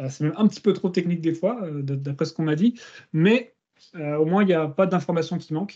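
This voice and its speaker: Here a man speaks at a fairly quick pace and high pitch, with ordinary pitch variation. His tone is dark and mellow over a quiet background. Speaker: search engineer presenting a case study; guest. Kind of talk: technical presentation. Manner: fast. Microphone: video call.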